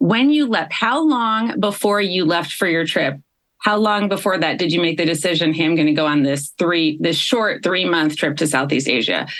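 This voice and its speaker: A woman at a fairly quick pace with lively intonation and a US Midwestern accent. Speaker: podcast host and coach. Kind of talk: podcast interview.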